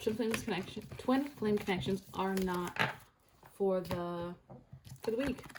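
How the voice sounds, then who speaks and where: Speaking at a fairly slow pace with long, frequent pauses, a woman keeps a medium pitch, ordinary pitch variation and very even loudness. Noticeable background noise sits under her voice. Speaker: tarot reader. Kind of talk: tarot reading.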